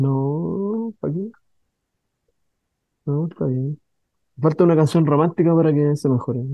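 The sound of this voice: A man with a fairly high pitch talks at a fairly slow pace, his pitch varying in an ordinary way.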